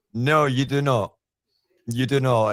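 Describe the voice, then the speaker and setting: A man with a Scottish accent speaks in a fairly high voice with fairly even intonation. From Scotland. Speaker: paranormal investigator. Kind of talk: podcast interview.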